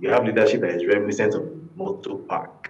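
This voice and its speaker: This is a man with a Nigerian accent. His pitch sits in the medium range. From Nigeria, Lagos. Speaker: journalist and political commentator; guest commentator. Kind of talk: TV talk show interview. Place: home room. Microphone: video call.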